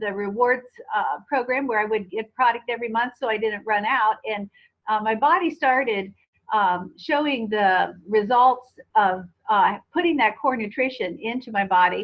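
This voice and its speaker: Using a plain, everyday voice, a woman speaks at a moderate pace, fairly high in pitch with ordinary pitch variation. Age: 60s. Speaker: network marketing distributor. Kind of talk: testimony.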